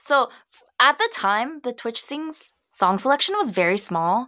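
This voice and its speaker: Her raised, projected voice is high in pitch with a bright, sharp tone. The woman goes at a fairly slow pace with big swings in loudness. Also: hardly any pauses. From United States. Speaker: singer and streamer. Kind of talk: casual chat.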